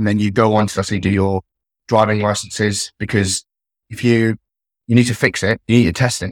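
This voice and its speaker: On a very clean recording with a silent background and a dry, close sound with no echo, a man with an East Midlands accent speaks in a fairly low pitch at a fairly quick pace, with monotone, flat intonation and long, frequent pauses. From Leicester, England. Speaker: army staff sergeant. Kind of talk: casual interview.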